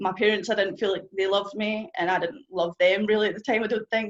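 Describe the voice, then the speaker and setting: This woman speaks very fast in a strong Scottish accent. Her intonation stays fairly even. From Scotland. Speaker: testimony speaker. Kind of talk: testimony. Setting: stage with audience.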